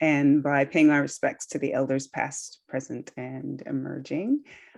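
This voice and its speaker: The speaker is a woman. She has a slight Australian accent. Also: quiet background. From California, US. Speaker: yoga teacher. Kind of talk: panel discussion introduction.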